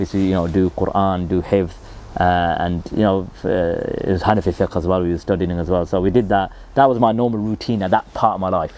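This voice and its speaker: Very deep and low, a man's dark, mellow voice in a Birmingham accent moves at a fairly quick pace with fairly even intonation. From England, Birmingham. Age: 30s. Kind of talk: personal story monologue. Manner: casual, many fillers.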